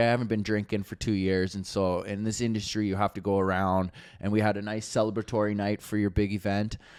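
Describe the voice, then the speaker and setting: A man with a Canadian accent, a plain, everyday voice, fairly low in pitch, at a fairly quick pace. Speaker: comedian and podcast co-host. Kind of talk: casual chat.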